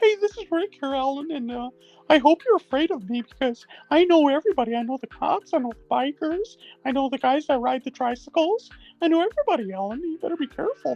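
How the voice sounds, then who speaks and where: Someone performs a put-on character voice. The delivery comes at a very fast pace. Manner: menacing, mock-intimidating.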